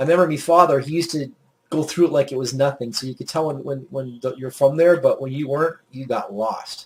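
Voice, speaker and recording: Speaking at a very fast pace, a man with a fairly high pitch sounds somewhat breathy, his intonation fairly even and his loudness swinging widely. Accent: Maritime Canadian. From Nova Scotia, Canada (Yarmouth). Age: 40s. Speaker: gaming YouTuber. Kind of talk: gameplay commentary. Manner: casual, rambling.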